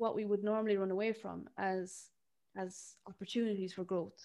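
A woman speaks with an Irish accent. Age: 30s. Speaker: podcast host and therapist. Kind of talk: casual interview chat.

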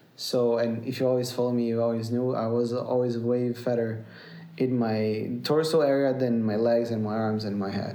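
In a Brazilian accent, a man speaks at a medium pitch and a moderate pace in a flat monotone, with audible room echo. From Brazil, near São Paulo. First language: Portuguese. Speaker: musician. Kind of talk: casual chat. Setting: at home. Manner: halting.

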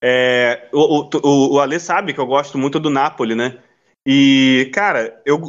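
A man at a fairly high pitch and a very slow pace, with fairly even intonation. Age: 20s. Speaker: podcast host. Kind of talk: casual chat.

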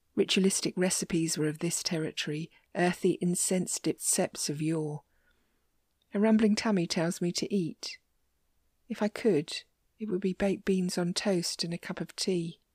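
A woman speaks in a somewhat breathy, dramatic tone at medium pitch and a moderate pace, her intonation fairly even. The recording is very clean with a silent background and a dry, close sound with no echo. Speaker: poet podcaster. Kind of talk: poetry reading. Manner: reflective, wistful, gently dramatic.

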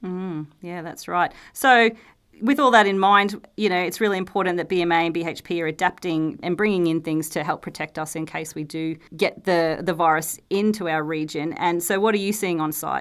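Against a silent background in a very clean recording, a woman speaks at a moderate pace in an unremarkable speaking voice with a fairly low pitch. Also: ordinary pitch variation. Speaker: company interviewer. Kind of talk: casual interview chat.

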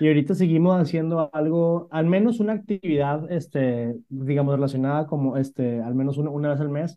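A man's fairly high voice at a fairly quick pace, ordinary pitch variation and hardly any pauses. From northern Mexico, Monterrey. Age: 30s. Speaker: startup CEO. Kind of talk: interview. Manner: halting, many fillers.

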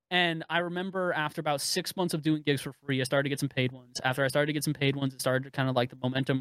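Very fast and with hardly any pauses, a man speaks at a fairly high pitch with fairly even intonation. The sound is dry and close with no echo, in a very clean recording with a silent background. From US West Coast (San Francisco Bay Area). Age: 20s. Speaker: esports caster. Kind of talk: casual chat. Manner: talkative.

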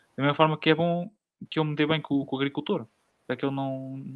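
The man talks at a fairly quick pace. His intonation stays fairly even. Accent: European Portuguese. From rural Portugal. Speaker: podcast host. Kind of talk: casual chat.

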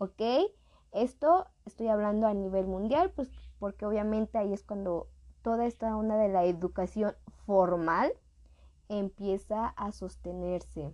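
A woman's medium-pitched, dark and mellow voice in a Mexican accent, fairly slow with long, frequent pauses and ordinary pitch variation. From Mexico. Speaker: podcast host. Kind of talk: casual educational monologue. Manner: chatty, informal.

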